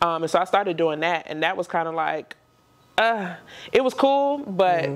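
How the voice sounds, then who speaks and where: In a plain, everyday voice, a woman with a fairly low pitch speaks at a moderate pace with lively intonation. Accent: American. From Maryland, DMV area. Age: 30s. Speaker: entrepreneur and podcaster. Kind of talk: casual interview conversation.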